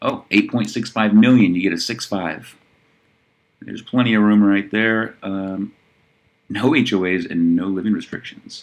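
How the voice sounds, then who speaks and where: This man has an unremarkable speaking voice with a fairly low pitch. He talks at a moderate pace with fairly even intonation. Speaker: real estate listings reviewer. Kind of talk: listing review monologue. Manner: casual, conversational.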